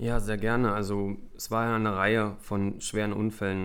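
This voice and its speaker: There is audible room echo as a man speaks at a moderate pace. His intonation is monotone and flat. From Brandenburg, eastern Germany. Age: 30s. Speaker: retired speedway racer and youth coach. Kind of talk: casual interview.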